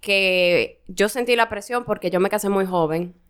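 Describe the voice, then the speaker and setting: A woman with an unremarkable speaking voice talks at a fairly slow pace. Her pitch is medium, with ordinary variation. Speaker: podcast co-host. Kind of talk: casual chat. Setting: studio.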